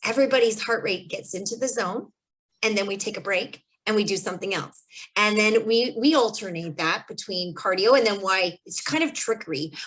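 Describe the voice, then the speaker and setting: Here a woman has a normal speaking voice, fairly high in pitch with ordinary pitch variation, at a fairly quick pace. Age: 40s. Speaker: kinesiologist. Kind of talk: webinar presentation. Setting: video call. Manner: casual.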